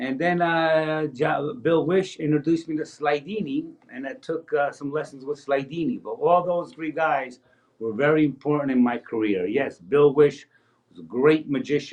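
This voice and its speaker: With an American accent, this man has an unremarkable speaking voice, fairly high in pitch with ordinary pitch variation, big swings in loudness, and a moderate pace. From New Jersey, US (Paterson). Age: 60s. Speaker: magician. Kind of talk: interview.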